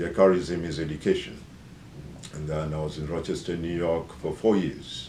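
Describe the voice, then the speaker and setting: In a room with audible echo, a man speaks with a Kenyan accent. His voice is very deep and low, with fairly even intonation. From Kenya, Nairobi. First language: Bukusu. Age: 50s. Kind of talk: self-introduction. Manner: hesitant, many fillers.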